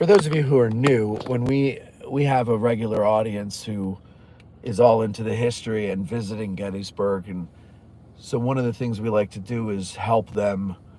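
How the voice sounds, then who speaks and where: A man with an ordinary speaking voice talks at a moderate pace and medium pitch, with fairly even intonation. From New Jersey. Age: 40s. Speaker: history YouTuber. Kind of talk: live stream chat reading viewer comments. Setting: in a car. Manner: casual, conversational.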